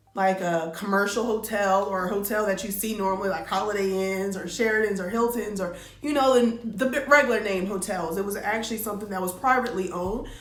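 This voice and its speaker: A woman talks at a very fast pace. Room echo is audible, and background noise is noticeable. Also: medium pitch for a woman, ordinary pitch variation, hardly any pauses. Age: 20s. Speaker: vlogger, former bartender. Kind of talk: casual storytime monologue. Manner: conversational, filler-heavy.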